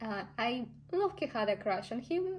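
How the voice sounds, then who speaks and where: A woman speaks in a Russian accent with lively intonation. Her voice is somewhat breathy and her pace moderate. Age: 20s. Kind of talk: casual talk to camera.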